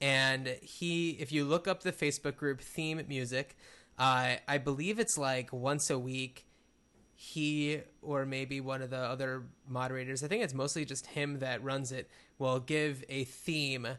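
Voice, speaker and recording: Here a man talks at a fairly slow pace with a fairly high pitch and fairly even intonation. His tone is bright and sharp, and the background is quiet. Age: 30s. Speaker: podcast co-host. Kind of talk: casual chat.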